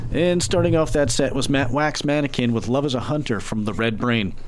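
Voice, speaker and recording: A man speaks at a medium pitch. Noticeable background noise runs underneath. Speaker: radio DJ. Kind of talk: radio DJ patter, a live campus-radio show with fund-drive pitches and song rundowns. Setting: studio. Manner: laid-back and rambling, peppered with ums and uhs, wry and self-deprecating; conversational, plain-spoken, a little absent-minded and joking around.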